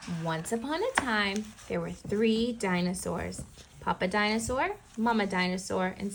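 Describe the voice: Plain reading aloud moves through ordinary pitch variation.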